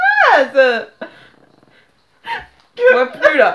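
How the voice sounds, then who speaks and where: An extremely high-pitched woman's voice, playful in tone, with very wide pitch swings. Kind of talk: casual talk to camera, playful challenge game. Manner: laughing, frustrated, playful.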